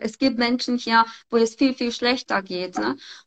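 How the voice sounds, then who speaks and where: Her intonation is fairly even. The woman's pitch is high. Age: 50s. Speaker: model and fashion blogger. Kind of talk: casual interview. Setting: online call via Instagram live. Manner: hesitant, many fillers.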